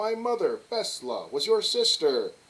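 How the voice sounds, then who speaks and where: Using a put-on character voice, the man pitches himself extremely high. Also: fairly slow pace. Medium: read story.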